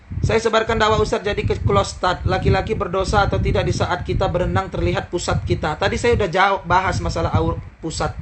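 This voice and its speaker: With a Medan accent, a man talks at a very fast pace. Noticeable background noise runs behind him. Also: hardly any pauses. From Medan, Indonesia. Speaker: Islamic preacher. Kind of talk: live-stream Q&A answering viewer questions. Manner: stern, harsh, blunt.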